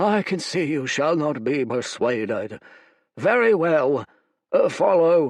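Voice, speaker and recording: Putting on a character voice, a man speaks croakily at a fairly slow pace and a fairly high pitch, over a quiet background. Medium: read story. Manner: solemn, preachy.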